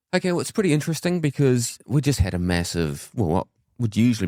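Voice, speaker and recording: A man with a New Zealand accent uses lively intonation in a dry, close sound with no echo. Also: very clean recording, silent background. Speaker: mortgage adviser. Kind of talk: casual chat.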